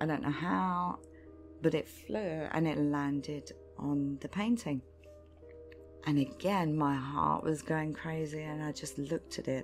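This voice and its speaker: Over background music, a woman with a very deep, low voice speaks fairly slowly in a calm tone, her intonation lively and her speech broken by long, frequent pauses. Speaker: artist, ASMR creator. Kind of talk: ASMR storytelling, true spooky story told in a personal first-person style. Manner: soft, calm, intimate.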